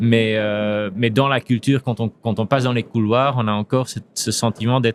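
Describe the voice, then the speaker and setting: A man's medium-pitched, monotone, flat voice with hardly any pauses, dry and close with no echo, over music in the background. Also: moderate pace. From Belgium (Flanders, Antwerp). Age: 40s. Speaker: insurance company CEO. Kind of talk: podcast interview. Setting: at a trade congress. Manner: hesitant, many fillers and repetitions.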